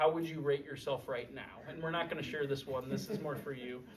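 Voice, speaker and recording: At a fairly quick pace, a man with a fairly high pitch speaks in fairly even intonation amid noticeable background noise. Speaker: wellness workshop speaker. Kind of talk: health talk to a group. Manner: hesitant, many fillers.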